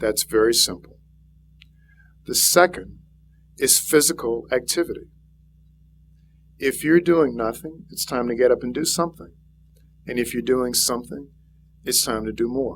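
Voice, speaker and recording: Speaking with a slight Louisiana accent, a man talks at a medium pitch and moderate pace with ordinary pitch variation and long, frequent pauses. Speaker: physician and health speaker. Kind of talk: public speech.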